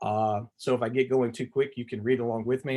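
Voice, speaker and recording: A man with a medium-pitched voice speaks fairly quickly. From US South, Tennessee. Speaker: visual artist. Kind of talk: artist talk presentation. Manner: fast; animated.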